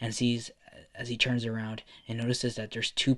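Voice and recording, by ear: Someone is reading aloud in a natural voice. The text is delivered as written.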